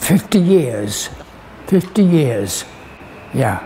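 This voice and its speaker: Noticeable background noise sits under this man's lively intonation. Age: 90s. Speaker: estate resident. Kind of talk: interview.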